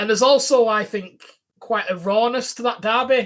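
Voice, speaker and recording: A man talks with a strong Lancashire accent. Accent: strong Bolton. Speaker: football podcast co-host. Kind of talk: casual podcast chat.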